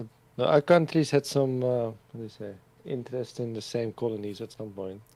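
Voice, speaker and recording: In a Dutch accent, a man speaks at a medium pitch with a dark, mellow tone. His pace is fairly quick and his pitch variation ordinary. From Netherlands. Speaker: streamer. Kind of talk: casual chat.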